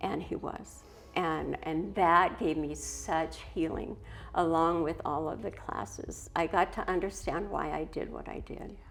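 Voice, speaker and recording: Against music in the background, a woman with an American accent speaks at a fairly slow pace. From US Pacific Northwest, Portland Oregon. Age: 60s. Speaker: recovery ministry worker. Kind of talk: testimony.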